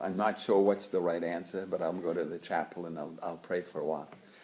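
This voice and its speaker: A man speaks at a very fast pace in a very deep, low pitch with fairly even intonation. Noticeable background noise runs underneath. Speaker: religious brother and lecturer. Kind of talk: lecture. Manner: halting.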